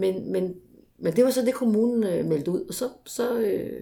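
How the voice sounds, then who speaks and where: A woman speaks at a fairly slow pace. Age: 40s. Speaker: municipal sports consultant. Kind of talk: interview. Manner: hesitant with fillers.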